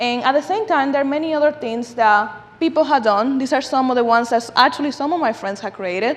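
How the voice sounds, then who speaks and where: A woman with a high pitch speaks very fast in a Dominican accent. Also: lively intonation. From Dominican Republic. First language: Spanish. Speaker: food justice advocate and speaker. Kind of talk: lecture. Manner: animated.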